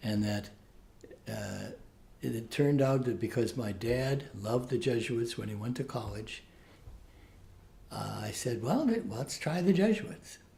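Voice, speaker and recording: A man speaks fairly slowly at a medium pitch with lively intonation. Audible room echo surrounds his voice. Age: 70s. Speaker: Jesuit priest and professor. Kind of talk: interview. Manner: halting.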